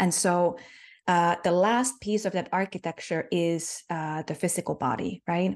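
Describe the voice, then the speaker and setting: Against a quiet background, a woman with a Finnish accent speaks in a fairly low voice with a warm tone and ordinary pitch variation. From Finland. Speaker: spiritual healer and mentor. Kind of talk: interview conversation about spirituality. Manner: warm, reflective, hesitant with fillers.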